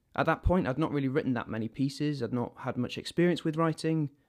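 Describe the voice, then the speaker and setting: Against a quiet background, a man with a northern English accent speaks at a very fast pace with ordinary pitch variation. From northern England. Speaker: actor. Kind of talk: interview, personal storytelling.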